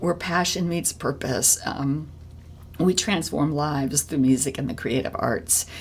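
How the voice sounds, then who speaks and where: Pitched very deep and low, a woman's voice varies in pitch in an ordinary way. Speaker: podcast host and musician. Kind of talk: casual interview chat. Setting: on a porch. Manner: halting, many fillers.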